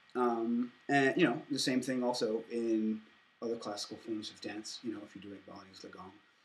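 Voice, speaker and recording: A man's voice with big swings in loudness and fairly even intonation. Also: medium pitch for a man, moderate pace. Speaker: anthropology student. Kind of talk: lecture. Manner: halting.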